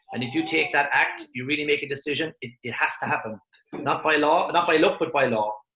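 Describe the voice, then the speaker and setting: A fairly high-pitched man with an Irish accent, passionate in tone, fairly quick, with ordinary pitch variation. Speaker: motivational speaker. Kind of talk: webinar presentation. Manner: fast.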